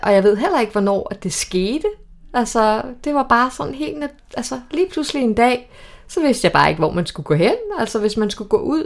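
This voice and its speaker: Her voice sits high. This woman's pitch swings very widely. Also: moderate pace. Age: 40s. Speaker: single woman sharing dating stories. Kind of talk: casual chat. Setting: at a women's party.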